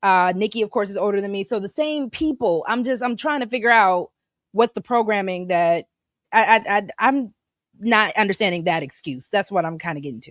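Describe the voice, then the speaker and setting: Recorded very cleanly against a silent background, dry and close with no echo, a woman speaks fairly quickly at medium pitch in an unremarkable speaking voice, with lively intonation and big swings in loudness. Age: 30s. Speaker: podcast host. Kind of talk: casual chat.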